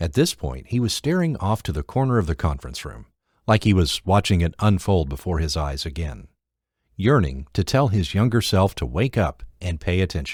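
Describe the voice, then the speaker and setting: A man with a very deep, low pitch speaks with vocal fry and very wide pitch swings, on a very clean recording with a silent background. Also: moderate pace. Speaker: audiobook narrator. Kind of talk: audiobook narration, non-fiction.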